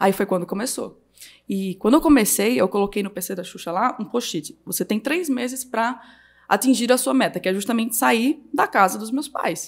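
A plain, everyday voice from a woman, fairly high in pitch, with lively intonation at a moderate pace. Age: 20s. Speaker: digital marketing entrepreneur. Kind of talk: casual chat. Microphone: speaks very close to the microphone.

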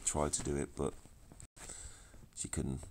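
A man puts on a character voice. It is croaky and very deep.

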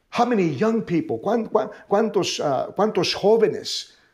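Against a quiet background, a man talks in an animated tone at a high pitch. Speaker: preacher. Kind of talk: sermon. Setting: online broadcast from church. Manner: bilingual, repeating each phrase in Spanish and English. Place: studio.

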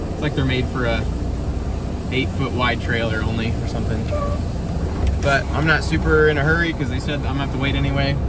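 A man talks at a fairly quick pace with ordinary pitch variation, his voice dry with no echo, over loud background noise. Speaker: truck driver vlogger. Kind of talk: casual vlog chat. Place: car. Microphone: phone near.

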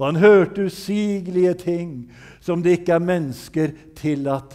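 A man with a dark, mellow tone, speaking at a fairly slow pace over a quiet background. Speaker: preacher. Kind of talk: sermon. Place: church.

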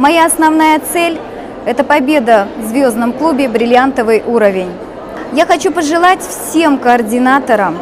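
Her voice is high and her pace fairly slow. Crowd noise can be heard behind this woman. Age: 30s. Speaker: direct sales coordinator. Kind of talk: recorded testimonial. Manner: formal. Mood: proud, upbeat. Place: hall. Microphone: lapel.

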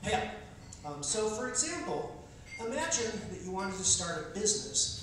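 A man's high-pitched voice in strong room echo with light background noise. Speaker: political candidate doing stand-up. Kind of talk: stand-up comedy with political satire, delivered as a campaign speech. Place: stage.

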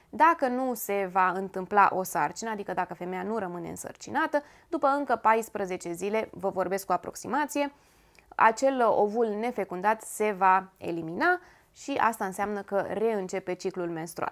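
Against a quiet background, a woman talks at medium pitch and a moderate pace with lively intonation. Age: 30s. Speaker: lifestyle YouTuber. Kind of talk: informative talk to camera. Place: home room.

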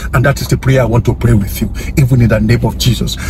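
A man talks at a very fast pace. Noticeable background noise is audible. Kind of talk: fervent prayer of agreement, spoken as an intercession for viewers. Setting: online video, addressing viewers directly. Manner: earnest, urgent and declarative, rising in intensity with repeated phrases; preacher-like, commanding, repeating 'amen' and 'so let it be'.

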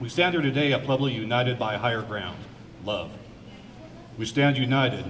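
There is noticeable background noise as a man talks. He speaks at a fairly quick pace with ordinary pitch variation. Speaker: speaker. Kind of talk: prepared speech at a rally. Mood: earnest, slightly nervous. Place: hall. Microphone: podium.

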